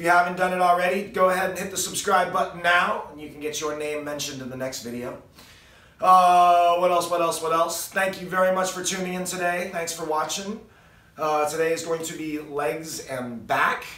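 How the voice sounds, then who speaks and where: A man's high-pitched voice at a fairly quick pace, with fairly even intonation and audible room echo. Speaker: fitness vlogger. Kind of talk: casual vlog chat. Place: garage. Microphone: camera far.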